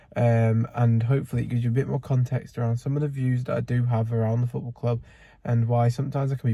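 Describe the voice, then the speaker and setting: A man's somewhat breathy, medium-pitched voice with a dark, mellow tone and fairly even intonation. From northern England, near Manchester (Bury). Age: 20s. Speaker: football fan vlogger. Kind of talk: casual vlog monologue. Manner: casual, with frequent fillers.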